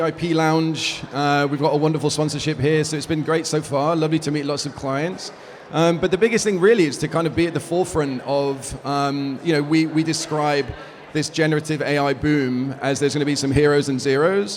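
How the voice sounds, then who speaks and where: Over noticeable background noise and audible room echo, a man speaks fairly quickly with a fairly high pitch and fairly even intonation. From UK. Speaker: business executive. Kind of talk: interview. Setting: conference event.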